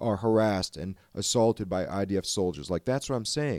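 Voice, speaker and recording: With an American accent and an unremarkable speaking voice, a man talks at a moderate pace and medium pitch with lively intonation, in a very clean, dry, close recording with a silent background and no echo. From Chicago suburbs, Illinois. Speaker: guest, Palestinian-American local business owner. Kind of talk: casual chat.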